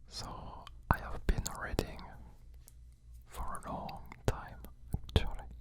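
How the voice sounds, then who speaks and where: Whispering very slowly with long, frequent pauses, a man swings widely in loudness over noticeable background noise. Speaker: ASMR artist. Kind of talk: ASMR whisper talk. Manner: whispered, soft, slow.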